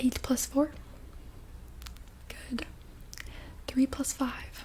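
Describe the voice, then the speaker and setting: A soft-spoken voice with a calm tone comes through over noticeable background noise. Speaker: ASMR creator guiding calming exercises. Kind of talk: guided easy math game. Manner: soft-spoken, calm, reassuring.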